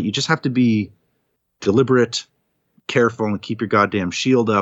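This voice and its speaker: He has an unremarkable speaking voice. The man's pitch is medium, with ordinary pitch variation. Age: 40s. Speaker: podcast host, guest on the show. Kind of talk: casual chat.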